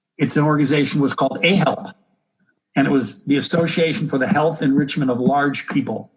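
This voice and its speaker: Speaking very fast with an American accent, a man uses a fairly high pitch, a somewhat breathy voice and ordinary pitch variation. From United States. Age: 60s. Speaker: health educator and exercise physiologist. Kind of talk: interview.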